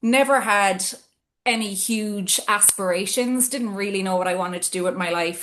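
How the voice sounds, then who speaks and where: Speaking with an Irish accent, a woman talks at a moderate pace and medium pitch. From Ireland, Cork City. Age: 40s. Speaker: business executive. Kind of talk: interview conversation. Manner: hesitant with fillers.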